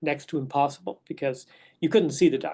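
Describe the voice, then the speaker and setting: Someone speaks with an Irish accent over a quiet background. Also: man. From west of Ireland. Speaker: neonatologist. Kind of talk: lecture. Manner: hesitant, with fillers and repeated words.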